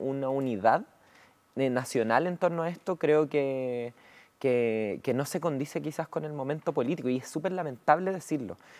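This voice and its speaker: A woman's very deep, low voice with a dark, mellow tone, lively intonation and a moderate pace. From Chile. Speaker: member of parliament; politician guest. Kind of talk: political interview. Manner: hesitant, many fillers. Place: studio. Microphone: lapel.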